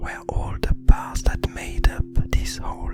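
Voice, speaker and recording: Someone whispers in a calm tone at a very slow pace while music plays in the background. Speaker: illustrator. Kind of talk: ASMR art commentary. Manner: whispered, calm.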